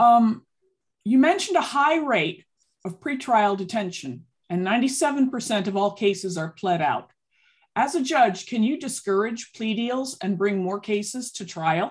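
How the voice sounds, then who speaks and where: Against a quiet background, a woman speaks at a fairly slow pace in a somewhat breathy, fairly high voice with lively intonation. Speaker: community group member; forum moderator. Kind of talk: reading aloud. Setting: video call. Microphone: video call.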